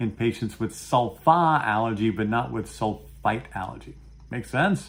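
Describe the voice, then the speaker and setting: A man talks in a Brooklyn accent. His pitch is medium and his pace moderate. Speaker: pharmacology educator. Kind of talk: interview on a video program. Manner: animated.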